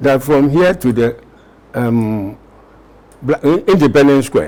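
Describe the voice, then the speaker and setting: A man's fairly high voice at a very slow pace, with lively intonation and noticeable background noise. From Ghana. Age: 80s+. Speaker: war veteran. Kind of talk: interview answer.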